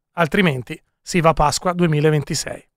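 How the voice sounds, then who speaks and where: A man speaks at a moderate pace. The recording is very clean and silent behind him, dry and close with no echo. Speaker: radio host. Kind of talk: casual live radio chat, election night. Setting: studio. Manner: joking, animated.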